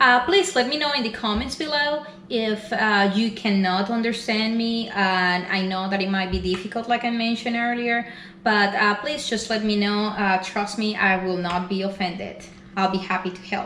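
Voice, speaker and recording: With a Spanish accent, a woman speaks at a moderate pace and a fairly high pitch with ordinary pitch variation, while audible room echo and noticeable background noise fill the recording. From Venezuela. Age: 40s. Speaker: weight loss vlogger. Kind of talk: personal vlog. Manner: hesitant, many fillers.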